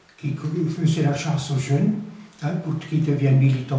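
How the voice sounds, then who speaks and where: Noticeable background noise and audible room echo are both present in this clip. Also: man. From Alsace, France. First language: Alsatian (speaking French). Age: 80s+. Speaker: retired trade unionist. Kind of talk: interview. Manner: halting, repeats words.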